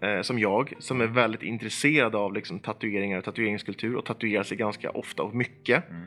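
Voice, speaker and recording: The speech moves at a fairly quick pace, with music playing in the background. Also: man. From Sweden, Eskilstuna. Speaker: organization manager and opinion writer. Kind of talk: casual chat. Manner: hesitant, many fillers and repeated words.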